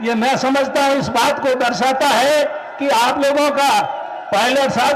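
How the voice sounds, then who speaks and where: Amid noticeable background noise and audible room echo, a man talks at an extremely high pitch. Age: 70s. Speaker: veteran politician. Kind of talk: political rally speech.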